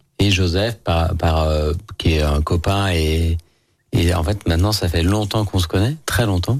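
Speaking with a very deep, low pitch, a man talks at a fairly slow pace, somewhat breathy, with ordinary pitch variation and very even loudness in a very clean recording with a silent background. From Lyon, France. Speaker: chef and restaurant owner. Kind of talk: casual radio interview. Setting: radio studio.

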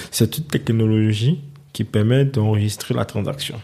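A man talks at a moderate pace and medium pitch. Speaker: finance entrepreneur. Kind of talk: interview. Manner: halting.

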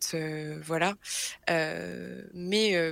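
A woman's voice with a fairly low pitch. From Brittany, France. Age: 20s. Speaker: guest sharing a health story. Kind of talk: personal testimony in interview. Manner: hesitant, many fillers and repetitions.

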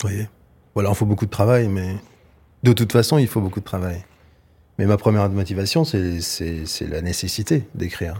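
A man with a fairly low pitch and a dark, mellow tone speaks at a moderate pace, somewhat breathy, with ordinary pitch variation and long, frequent pauses, on a very clean recording with a silent background. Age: 50s. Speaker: novelist. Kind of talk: interview. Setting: studio.

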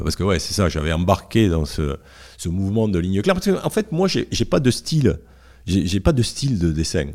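A man speaks with a dark, mellow tone. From southern France, Garonne valley (Montauban/Toulouse). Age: 60s. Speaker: comic book author. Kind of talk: casual interview chat. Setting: at his home. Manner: hesitant, many fillers and repetitions.

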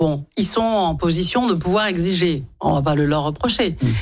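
With lively intonation, a woman speaks at a moderate pace in a normal speaking voice. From France, Lyon. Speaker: politician and business school director. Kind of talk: radio interview.

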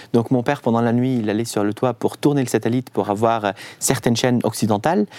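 In an Arabic accent, the speech runs at a very fast pace with fairly even intonation and a dark, mellow tone. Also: man. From Syria, Damascus. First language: Arabic (speaking French). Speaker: concert violinist. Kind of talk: radio interview. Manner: halting.

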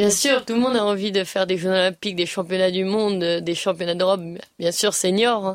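Using a plain, everyday voice, a woman speaks at a medium pitch and a fairly quick pace, with fairly even intonation and very even loudness. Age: 20s. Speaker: show jumping rider. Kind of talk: interview. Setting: at a competition venue.

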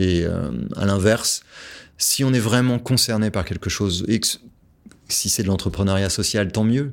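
Pausing long and often, a man with a fairly low voice speaks at a fairly slow pace with ordinary pitch variation, on a very clean recording with a silent background. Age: 40s. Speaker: entrepreneur and author. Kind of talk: interview.

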